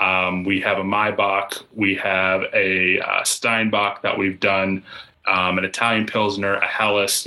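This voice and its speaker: Intonation stays monotone and flat, delivered with an American accent. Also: man. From Pittsburgh, Pennsylvania. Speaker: brewery sales and events coordinator. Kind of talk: casual chat.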